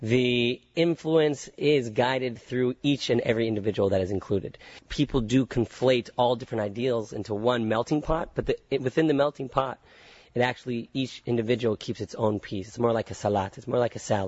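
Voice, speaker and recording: With an American accent, a plain, everyday voice moves at a fairly quick pace with ordinary pitch variation. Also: man, medium pitch for a man. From Northern California, San Francisco area. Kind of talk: interview conversation. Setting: at a summer camp.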